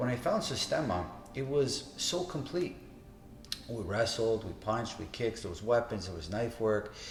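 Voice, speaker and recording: Over audible room echo, a man with a medium pitch speaks in a somewhat breathy voice with lively intonation. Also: moderate pace. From Toronto, Canada. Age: 50s. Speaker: martial arts instructor. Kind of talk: interview monologue. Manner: casual, with fillers.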